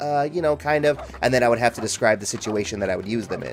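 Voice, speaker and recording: Music can be heard in the background. Over it, a man speaks very fast. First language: German. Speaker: video game streamer. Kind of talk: casual chat.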